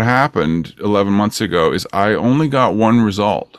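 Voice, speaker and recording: A man with a Canadian accent and a plain, everyday voice, fairly low-pitched, at a moderate pace. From Ontario, Canada. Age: 50s. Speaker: record producer. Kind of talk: casual interview chat.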